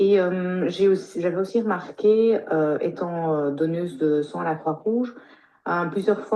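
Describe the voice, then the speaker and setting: With a fairly low pitch and ordinary pitch variation, a woman speaks at a fairly slow pace. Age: 50s. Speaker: pharmacist. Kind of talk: testimony. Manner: halting.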